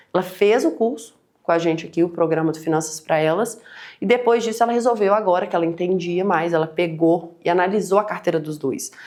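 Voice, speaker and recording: A woman with a fairly low pitch talks at a fairly quick pace. She sounds animated, with ordinary pitch variation. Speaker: financial educator. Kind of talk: online webinar presentation. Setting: live stream. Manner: fast.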